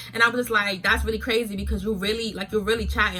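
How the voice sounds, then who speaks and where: A woman talks at a very fast pace with music in the background. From New York. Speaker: YouTuber. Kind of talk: storytime vlog. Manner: animated.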